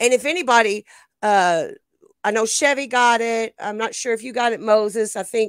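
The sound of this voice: A woman at a fairly high pitch and moderate pace, with a clear, smooth tone and dry, close sound with no echo. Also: ordinary pitch variation.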